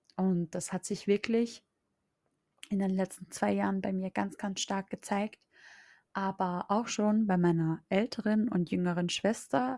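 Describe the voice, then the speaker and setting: Very slowly, a woman speaks at a medium pitch with a dark, mellow tone and fairly even intonation. The audio is dry and close with no echo, very clean, with a silent background. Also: long, frequent pauses. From Austria. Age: 20s. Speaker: mindset coach. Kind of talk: podcast monologue.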